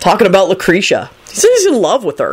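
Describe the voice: Putting on a character voice with a husky, rough edge, a woman talks fast at a medium pitch with very wide pitch swings.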